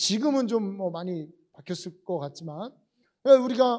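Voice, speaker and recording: A man speaks at a fairly slow pace, his pitch swinging very widely. His tone is animated. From Korea, moved from Gyeongsang as a child. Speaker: pastor. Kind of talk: sermon. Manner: conversational, animated.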